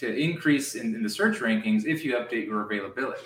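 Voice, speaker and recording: Speech comes at a very fast pace with fairly even intonation. Background noise is noticeable. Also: man. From US, family from Romania. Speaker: healthcare tech founder. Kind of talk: interview. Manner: repetitive, stammering restarts.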